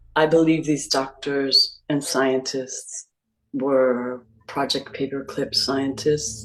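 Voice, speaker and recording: Very slow, monotone, flat speech from a woman with a very deep, low pitch and an American accent, over music in the background. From US Northeast. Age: 50s. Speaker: abuse survivor. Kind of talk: testimony. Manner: halting.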